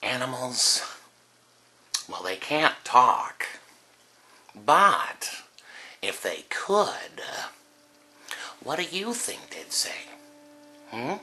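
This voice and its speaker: Putting on a character voice, a man speaks very slowly in a raspy, fairly high pitch with very wide pitch swings, a theatrical, menacing tone, and long, frequent pauses. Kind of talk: charity PSA audition read. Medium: voice reel. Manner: theatrical, mocking, menacing.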